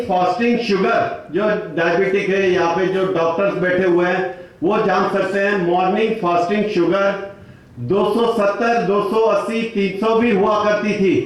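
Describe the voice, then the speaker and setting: A man speaks at a high pitch with very even loudness. Noticeable background noise and audible room echo surround his voice. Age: 60s. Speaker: retired engineer sharing health testimony. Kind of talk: testimony.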